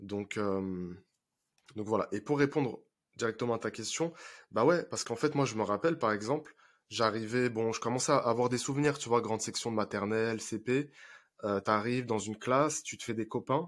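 A man at medium pitch uses a normal speaking voice at a moderate pace with ordinary pitch variation. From France, Paris suburbs (Seine-Saint-Denis). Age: 20s. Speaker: relationship coach. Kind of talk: casual interview.

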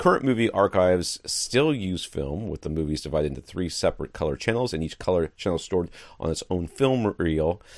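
A man with a very deep, low voice talks at a fairly quick pace with hardly any pauses and lively intonation. The recording is very clean, with a silent background. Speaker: podcast host.

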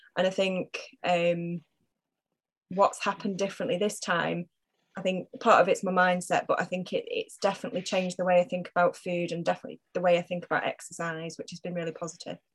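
A woman with a Cheshire accent talks at a very fast pace, somewhat breathy and at a medium pitch. Her intonation is monotone and flat, and the sound is dry and close with no echo. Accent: northern English (Cheshire). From northern England, Macclesfield. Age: 40s. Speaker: hospital communications worker and fitness client. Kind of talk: casual interview.

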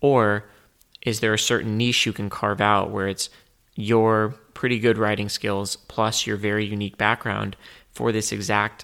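At a moderate pace, a man with a fairly low pitch and a bright, sharp tone speaks in a monotone, flat intonation on a very clean recording with a silent background. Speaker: podcast host. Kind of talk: solo podcast monologue. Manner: reserved, quiet.

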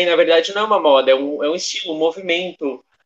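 A man speaks with a high pitch. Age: young. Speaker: student podcast co-host. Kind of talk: casual chat.

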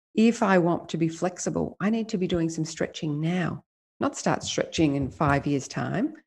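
In an Australian accent, a woman speaks at a moderate pace with a fairly low, somewhat breathy voice and ordinary pitch variation against a quiet background. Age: 50s. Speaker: life coach. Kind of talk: interview.

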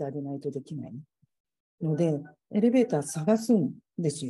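Very wide pitch swings at a fairly quick pace. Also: woman. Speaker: civil engineer. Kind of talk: casual chat. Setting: video call.

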